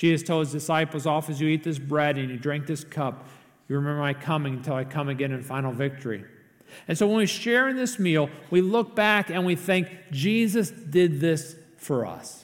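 Using a plain, everyday voice, a man speaks at a fairly high pitch with ordinary pitch variation. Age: 50s. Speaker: pastor. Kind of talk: sermon.

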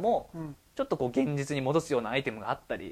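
This man's pitch sits fairly high, and his intonation is lively. He speaks at a very fast pace on a very clean recording with a silent background. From Japan, Chiba. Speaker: department store worker, podcast co-host. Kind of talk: casual chat.

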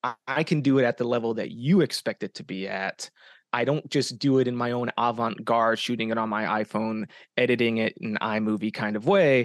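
In an American accent, a man speaks at a medium pitch and a fairly quick pace with ordinary pitch variation, a plain, everyday voice. The sound is dry and close with no echo, against a quiet background. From Arizona. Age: 30s. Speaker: independent filmmaker and podcast host. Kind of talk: casual interview chat.

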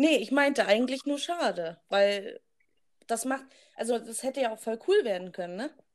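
A woman speaks at a moderate pace with a high pitch and lively intonation. Her loudness swings widely. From Germany, rural village. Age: 20s. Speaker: podcast co-host, nursery teacher. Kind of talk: casual chat.

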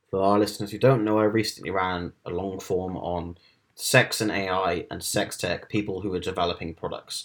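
This man has a normal speaking voice, fairly low in pitch, with fairly even intonation and a moderate pace. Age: 20s. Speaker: tech reporter. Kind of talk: casual chat. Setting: video call.

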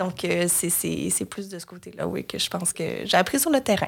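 A woman is speaking. Her pace is moderate. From Quebec, Lanaudière (Joliette). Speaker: marketing and communications entrepreneur. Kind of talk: interview. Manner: hesitant, many fillers.

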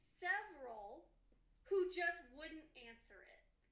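A woman with an American accent projects in a raised voice with an extremely high pitch. Her tone is bright and sharp, and her pace is fairly slow. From US Midwest, Chicago area. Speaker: graphic designer. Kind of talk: interview.

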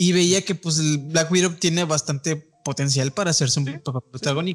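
With music in the background, a man talks at a moderate pace in a Mexican accent. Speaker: film podcast host. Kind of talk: casual chat.

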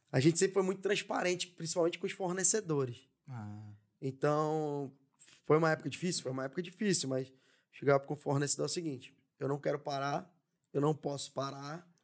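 A man speaks at a fairly quick pace in a normal speaking voice, his pitch fairly high. The recording is very clean, with a silent background. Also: ordinary pitch variation. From São Paulo city (Zona Leste, Penha), Brazil. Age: 30s. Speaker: entrepreneur. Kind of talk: casual interview chat.

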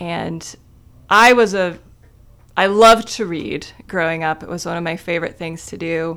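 In a very clean recording with a silent background, a woman with a Midwestern American accent speaks at a moderate pace, pausing long and often while her volume swings widely. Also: ordinary pitch variation. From Ohio, small town in Wayne County. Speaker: library communications officer. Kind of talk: radio interview.

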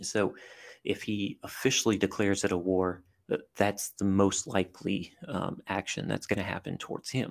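Talking at a fairly slow pace, a man with a fairly low pitch shows ordinary pitch variation. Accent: American. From US South, southern Louisiana (Cajun country). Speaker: army veteran and intelligence analyst. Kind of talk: casual interview. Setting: remote call.

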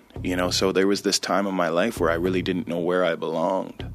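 Over noticeable background noise, a man talks with fairly even intonation. His pitch is very deep and low. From Six Nations, Ontario, Canada. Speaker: musician. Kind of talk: personal testimony.

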